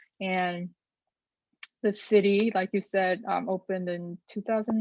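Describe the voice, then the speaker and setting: With a Korean accent, a woman speaks at a fairly slow pace and medium pitch in a dark, mellow tone. Her intonation is monotone and flat, and the sound is dry and close with no echo. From South Korea. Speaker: data journalist. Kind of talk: interview answers to a youth group. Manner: hesitant, many fillers.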